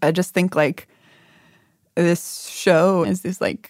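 Vocal fry colors a woman's fairly low-pitched speech. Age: 20s. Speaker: radio producer. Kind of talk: casual chat.

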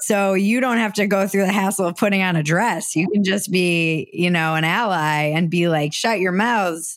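A woman with an American accent and an ordinary speaking voice talks at a moderate pace with hardly any pauses, ordinary pitch variation and very even loudness. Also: medium pitch for a woman. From United States. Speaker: comedian and podcaster. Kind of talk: casual interview conversation.

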